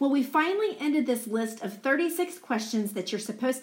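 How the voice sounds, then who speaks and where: Loud and fairly high, a woman speaks at a fairly quick pace with very wide pitch swings over noticeable background noise. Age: 40s. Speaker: podcast co-host. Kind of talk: casual chat.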